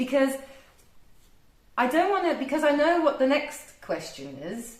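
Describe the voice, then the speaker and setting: A woman speaks with a strong English accent. There is audible room echo. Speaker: office worker, friend of host. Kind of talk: casual chat.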